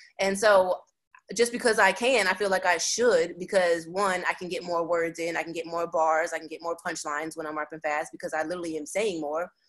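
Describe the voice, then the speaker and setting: A woman speaks at a fairly low pitch with ordinary pitch variation. Her pace is fairly quick, and her loudness swings widely. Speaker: rapper. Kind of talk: interview. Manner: fast.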